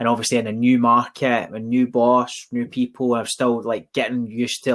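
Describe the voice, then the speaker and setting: A man with a Glaswegian accent talks at a medium pitch and a moderate pace. The recording is very clean, with a silent background. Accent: Glaswegian Scottish. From Scotland, East End of Glasgow. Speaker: recruitment company founder and podcast co-host. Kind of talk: casual podcast conversation.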